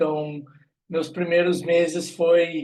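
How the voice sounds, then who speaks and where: A man with a southern Brazilian accent talks at a fairly slow pace. His pitch is high, with fairly even intonation. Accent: gaúcho accent, noticeable. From southern Brazil, Rio Grande do Sul. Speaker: HR recruitment specialist, guest lecturer. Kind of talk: online lecture. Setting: video call.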